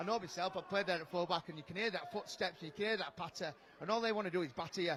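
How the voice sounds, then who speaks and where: A man with a strong Yorkshire accent talks at a very fast pace in a high pitch, with noticeable background noise. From Yorkshire, northern England. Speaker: rugby league co-commentator, former player. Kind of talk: live co-commentary. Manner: fast, talks nonstop; animated.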